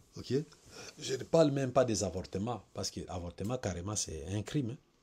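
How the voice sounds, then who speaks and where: A man with a fairly low pitch, somewhat breathy and dark, mellow in tone, with lively intonation and big swings in loudness. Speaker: preacher. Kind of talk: sermon. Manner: slow.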